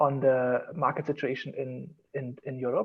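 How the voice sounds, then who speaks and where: A man with a German accent. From Germany. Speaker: designer. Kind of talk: casual chat.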